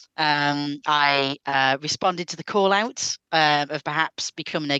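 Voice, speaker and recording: In a British accent, a woman with a very deep, low pitch and a bright, sharp tone, recorded with a dry, close sound with no echo against a quiet background. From United Kingdom. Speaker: podcast guest panelist. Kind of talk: casual chat. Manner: hesitant, many fillers.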